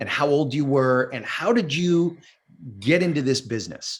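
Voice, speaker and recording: This is a man with a normal speaking voice. He keeps a moderate pace and ordinary pitch variation. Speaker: acting coach. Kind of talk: podcast host interview.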